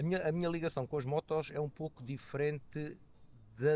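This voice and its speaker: A man talks at a moderate pace. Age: 60s. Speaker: motorcyclist and economist. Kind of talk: podcast interview. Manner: hesitant, many fillers.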